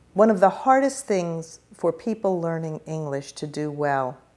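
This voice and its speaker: With an American accent, a woman talks at a fairly slow pace in a very deep, low pitch, her dark, mellow tone carrying lively intonation on a very clean recording with a silent background. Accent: New York, suppressed in formal speech. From US Northeast, New York. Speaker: educator and speech coach. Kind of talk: interview. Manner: formal, careful articulation.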